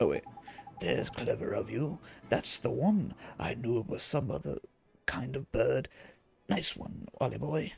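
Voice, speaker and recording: In a put-on character voice at a moderate pace, the speaker uses a low-to-middle pitch with long, frequent pauses. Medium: game stream. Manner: chatty, cheeky, dialect-heavy.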